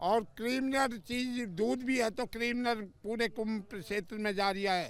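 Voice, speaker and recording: This man talks in a high voice with ordinary pitch variation. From Rajasthan, India. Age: 70s. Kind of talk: interview.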